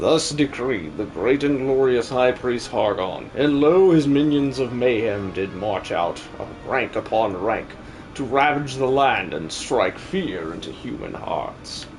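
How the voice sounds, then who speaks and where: Over clear background noise, a man does a put-on character voice at medium pitch. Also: fairly slow pace. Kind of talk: live-stream game dub. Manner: grandiose, theatrical.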